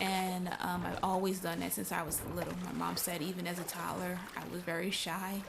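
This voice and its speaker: A woman speaks at a medium pitch. There is audible room echo and noticeable background noise. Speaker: gaming streamer. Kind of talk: casual chat. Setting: live stream. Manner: slow, careful enunciation.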